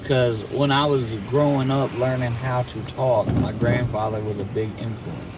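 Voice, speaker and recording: Speaking with an American accent at medium pitch, a man keeps a moderate pace, fairly even intonation and hardly any pauses, amid noticeable background noise and audible room echo. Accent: Louisiana Cajun tinge. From Virginia (Petersburg, Prince George). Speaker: storm chaser, driver. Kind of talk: casual chat. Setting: in a car. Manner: halting.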